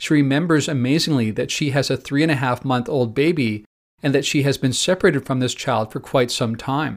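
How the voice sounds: A natural reading voice sounds out over a quiet background.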